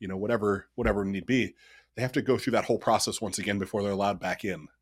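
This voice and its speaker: In a US Midwestern accent, a man speaks at a fairly low pitch on a very clean recording with a silent background. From Ohio, US Midwest. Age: 30s. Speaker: company CEO. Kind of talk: interview.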